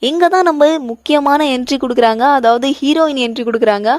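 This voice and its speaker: Recorded dry and close with no echo, a woman speaks at a high pitch with ordinary pitch variation. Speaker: voice-over narrator. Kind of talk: movie recap narration. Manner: casual, chatty.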